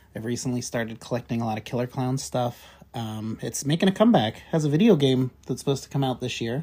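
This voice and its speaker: This man talks at a very fast pace, his medium-pitched voice dark, mellow and somewhat breathy. His pitch varies in an ordinary way. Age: 30s. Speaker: horror podcast co-host. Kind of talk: casual chat.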